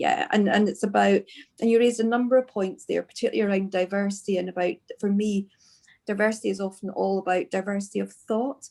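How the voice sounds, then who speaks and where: Someone talks at a fairly quick pace in a Scottish accent. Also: woman. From Scotland. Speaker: podcast host. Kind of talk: podcast interview. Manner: hesitant, many fillers.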